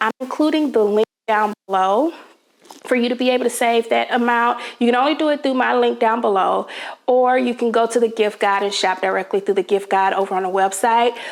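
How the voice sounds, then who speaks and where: Pitched fairly high, a woman talks at a fairly quick pace with ordinary pitch variation. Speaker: home decor vlogger. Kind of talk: sponsored product spotlight in a vlog. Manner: chatty, enthusiastic.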